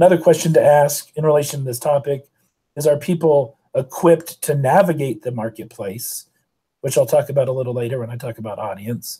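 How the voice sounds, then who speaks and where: Fairly high in pitch with ordinary variation, a man's voice has a dark, mellow tone and is somewhat breathy. His loudness swings widely in a very clean recording with a silent background. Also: fairly quick pace. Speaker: communication professor and debate coach. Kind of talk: lecture.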